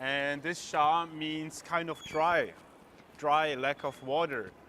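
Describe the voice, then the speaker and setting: A man with a German accent speaks at a very slow pace. His fairly high voice has a bright, sharp tone. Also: fairly even intonation. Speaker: travel vlogger. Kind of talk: casual walking vlog. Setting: outdoors at a street market.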